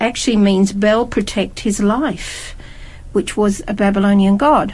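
A woman speaks in a somewhat breathy voice. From Scotland. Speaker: Bible study panelist. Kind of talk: group Bible study discussion.

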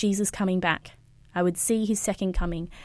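The recording is very clean, with a silent background. A woman speaks with an Australian accent at a medium pitch. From Queensland, Australia. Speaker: youth pastor. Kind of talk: interview testimony.

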